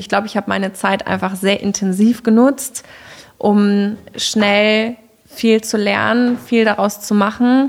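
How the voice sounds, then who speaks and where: An ordinary speaking voice, fairly slow in pace, with fairly even intonation. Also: woman. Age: 20s. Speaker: headhunter. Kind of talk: casual interview.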